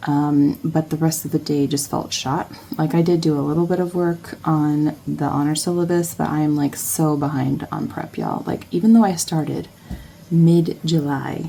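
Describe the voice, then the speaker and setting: Soft-spoken and at a moderate pace, a woman talks in a very deep, low voice with fairly even intonation, over noticeable background noise. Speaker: academic and planner vlogger. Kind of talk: casual vlog. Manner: halting.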